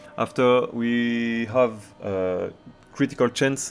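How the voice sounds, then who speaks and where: A man with a French accent speaks at a medium pitch and with ordinary pitch variation while music plays in the background. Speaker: video game streamer. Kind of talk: gameplay tutorial. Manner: halting.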